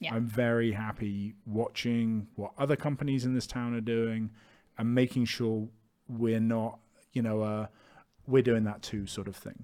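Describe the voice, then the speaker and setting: A man with a British accent and a dark, mellow tone speaks in a monotone, flat intonation on a very clean recording with a silent background. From UK. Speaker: entrepreneur, clothing merchandise founder. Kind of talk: casual chat.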